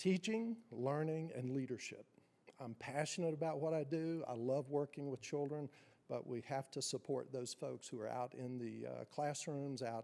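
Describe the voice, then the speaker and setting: In a strong Appalachian accent, a man speaks at a moderate pace and medium pitch with ordinary pitch variation and a dark, mellow tone. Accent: strong southwest Virginia Appalachian. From Wise County, southwest Virginia (Appalachia). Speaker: school superintendent. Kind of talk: formal introductory remarks. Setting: city council meeting.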